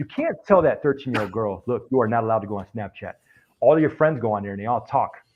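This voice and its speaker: Speaking at a very fast pace, a man keeps a medium pitch. His intonation is lively. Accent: American. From Springfield, Massachusetts. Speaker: army veteran, computer forensics investigator. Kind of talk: casual chat.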